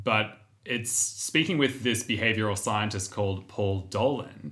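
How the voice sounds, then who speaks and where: Speaking with an Australian accent, a man has a fairly low pitch. His tone is bright and sharp. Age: 30s. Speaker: podcast co-host and actor. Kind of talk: casual chat.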